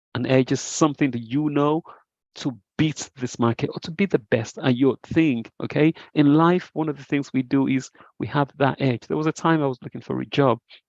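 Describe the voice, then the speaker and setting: Fairly high-pitched, a man speaks with fairly even intonation in a dry, close sound with no echo. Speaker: trading educator. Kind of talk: online group trade review session. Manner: fast.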